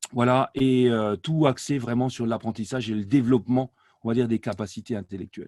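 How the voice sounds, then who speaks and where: Dry and close with no echo, a man with a dark, mellow tone talks fairly quickly with fairly even intonation. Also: medium pitch for a man. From France, Alsace. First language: Alsatian (speaking French). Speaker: language learning company director, polyglot. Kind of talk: interview. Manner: hesitant, many fillers.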